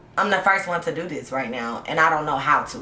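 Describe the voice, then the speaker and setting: In an animated tone, a woman with a very deep, low pitch talks at a fairly quick pace with lively intonation, amid noticeable background noise and audible room echo. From US South (south Georgia, Tennessee). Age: 20s. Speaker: podcast host and high school history teacher. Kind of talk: casual chat. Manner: fast.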